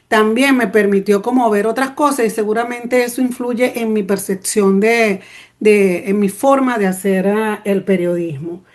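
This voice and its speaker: Pitch moves in an ordinary way. The speech goes at a fairly slow pace. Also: woman. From Venezuela, Petare (Caracas). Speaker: journalist. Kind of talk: panel talk. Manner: spontaneous, with many fillers and restarts; passionate.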